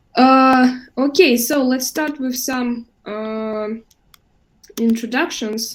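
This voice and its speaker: A woman speaks with a Russian accent and a high pitch. Her pace is very slow. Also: fairly even intonation. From Russia, Moscow. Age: 20s. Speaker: English teacher. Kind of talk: online class. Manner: hesitant, many fillers.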